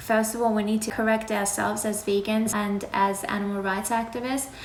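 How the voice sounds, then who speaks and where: Speaking at a fairly quick pace, a woman with a fairly high pitch keeps a monotone, flat intonation amid noticeable background noise and audible room echo. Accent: Iranian. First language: Farsi. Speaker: animal rights activist. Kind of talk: live Q&A. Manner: casual, conversational.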